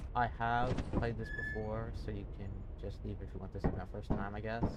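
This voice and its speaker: The speech moves at a moderate pace. Music sits in the background. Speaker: gaming video creator. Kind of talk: gameplay commentary. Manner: soft-spoken; casual, rambling with fillers.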